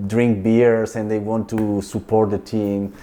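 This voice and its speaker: A man talks in a fairly low pitch with a dark, mellow tone and a monotone, flat intonation. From Italy, Venice area. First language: Italian (Venetian dialect). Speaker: film and opera director. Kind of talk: interview. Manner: halting, with many repetitions and fillers.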